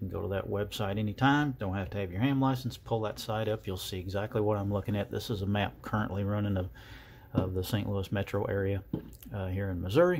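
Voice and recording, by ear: A man speaks at a fairly quick pace and fairly low pitch. His tone is slightly mellow, his intonation fairly even.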